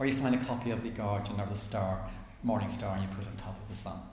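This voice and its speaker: A very fast-talking man with an Irish accent, with audible room echo. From Ireland. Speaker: author and activist. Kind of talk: interview. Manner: animated.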